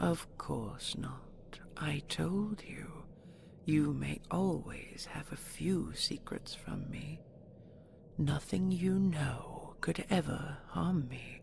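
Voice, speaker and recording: Whispering in a put-on character voice, a woman speaks at a very slow pace. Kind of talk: audio roleplay. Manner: soft-spoken, coaxing.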